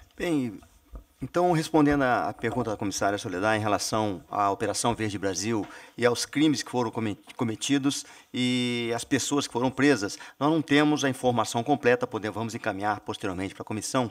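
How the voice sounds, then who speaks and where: Over a quiet background, a man talks at a fairly quick pace in a medium-pitched voice with ordinary pitch variation. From Brazil. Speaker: army general. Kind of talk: formal presentation; formal hearing testimony. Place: meeting room. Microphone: podium.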